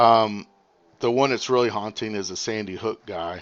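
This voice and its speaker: An ordinary speaking voice, ordinary pitch variation, and a moderate pace. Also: man. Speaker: live streamer. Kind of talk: live stream commentary. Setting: live stream with viewer call-in.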